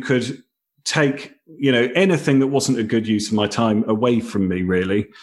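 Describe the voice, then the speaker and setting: Speaking at a moderate rate, a man talks with a British accent. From Britain. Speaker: company founder and author. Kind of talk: casual interview.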